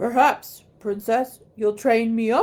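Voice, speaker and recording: Using a put-on character voice, a woman talks at a fairly slow pace with a fairly high pitch and fairly even intonation. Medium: read story.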